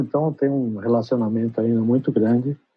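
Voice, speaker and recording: Here a man speaks with a Brazilian accent at a medium pitch. His intonation is fairly even. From Brazil (São Paulo), born in Trás-os-Montes, Portugal. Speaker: advertising creative director. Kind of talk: interview.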